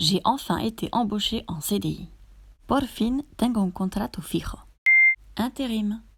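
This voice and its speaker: Speaking in a French accent at a fairly slow pace, a woman with a fairly high voice and vocal fry is heard on a very clean recording with a silent background. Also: ordinary pitch variation. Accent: native French. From France. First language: French (speaking Spanish). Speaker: co-host, native speaker. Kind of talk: reading example sentences aloud.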